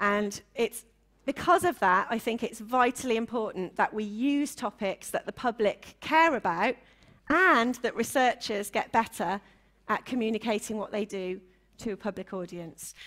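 In a Welsh accent, a woman with a fairly high pitch talks at a moderate pace with lively intonation against a quiet background. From Wales. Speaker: session chair and science communicator; panel moderator. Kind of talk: panel moderation. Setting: conference stage with audience. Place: hall. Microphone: handheld.

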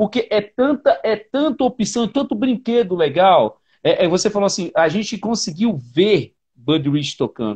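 A man speaks in a high voice at a fairly slow pace. The background is quiet. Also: lively intonation. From Brazil, Paraíba (Northeast). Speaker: drummer and live show host; live show host. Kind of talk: casual chat. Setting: livestream video call. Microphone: earbuds.

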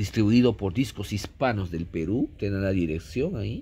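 A man talks fairly slowly at a fairly low pitch, in a dark, mellow tone. His voice is somewhat breathy, with lively intonation. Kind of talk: casual collection showcase commentary. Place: home room. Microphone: phone near.

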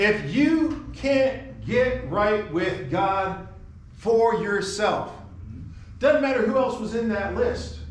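A high-pitched man at a very slow pace with lively intonation, audible room echo and light background noise. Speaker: preacher. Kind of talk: sermon. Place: church. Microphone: camera far.

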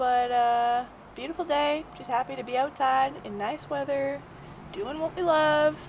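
A woman talks at a fairly slow pace. Her pitch is high, with ordinary variation.

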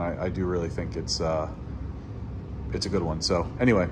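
Noticeable background noise sits behind the speech. A man talks at a fairly quick pace. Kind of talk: casual vlog chat. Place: empty room. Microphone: phone near.

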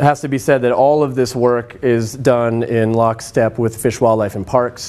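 The delivery moves at a moderate pace with a monotone, flat intonation. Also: man. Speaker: presenter. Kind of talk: lecture. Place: classroom.

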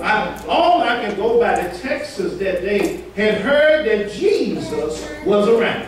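Slowly and at a high pitch, a man speaks with big pitch swings amid audible room echo.

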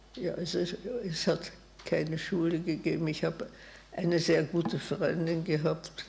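The speech moves at a moderate pace in a monotone with flat intonation. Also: woman. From Vienna, Austria; Austria. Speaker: Holocaust survivor, physician, eyewitness; witness. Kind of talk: eyewitness talk. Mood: calm, reflective.

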